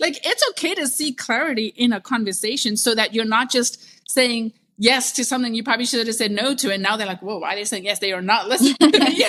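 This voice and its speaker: Over noticeable background noise, the speaker rushes along at a very fast pace with ordinary pitch variation. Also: woman, fairly high pitch for a woman. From South Africa. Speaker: creative director and entrepreneur. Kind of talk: podcast conversation.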